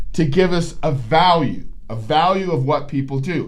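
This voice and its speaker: In a room with audible echo, a man with a fairly high pitch talks in an animated tone with lively intonation. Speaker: psychologist and podcast host. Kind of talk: educational talk.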